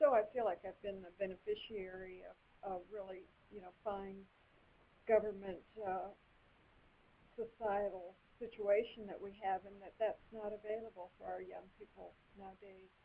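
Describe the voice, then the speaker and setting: With an East Tennessee accent, a woman talks at a moderate pace and medium pitch, leaving long, frequent pauses. Her intonation is monotone and flat, while her loudness swings widely. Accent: US Southern (East Tennessee). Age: 60s. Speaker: political candidate, retired doctor. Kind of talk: interview.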